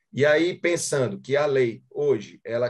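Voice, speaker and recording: This man's voice is somewhat breathy, with ordinary pitch variation. The background is quiet. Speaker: course participant. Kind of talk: question in seminar discussion. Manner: hesitant, thinking aloud. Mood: thoughtful, reflective. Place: home room. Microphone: video call.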